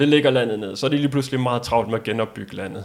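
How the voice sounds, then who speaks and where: Medium in pitch, a man talks in an unremarkable speaking voice. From Denmark. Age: 40s. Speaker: world traveller. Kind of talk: interview.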